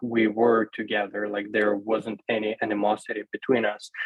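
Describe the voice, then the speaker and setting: Speaking in a Russian accent, a man talks at a moderate pace in a fairly low pitch with monotone, flat intonation. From Ukraine, Kherson. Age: 20s. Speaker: university student. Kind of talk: panel discussion. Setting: video call. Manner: halting.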